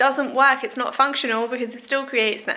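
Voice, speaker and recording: A woman speaks in an English accent over noticeable background noise. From England. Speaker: lifestyle vlogger. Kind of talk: casual tutorial vlog. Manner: chatty, informal.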